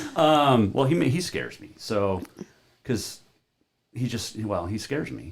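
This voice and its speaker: Speaking at a fairly slow pace with long, frequent pauses, a man with an American accent uses a medium pitch, vocal fry, very wide pitch swings and big swings in loudness. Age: 50s. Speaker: sports radio host. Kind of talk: casual interview chat.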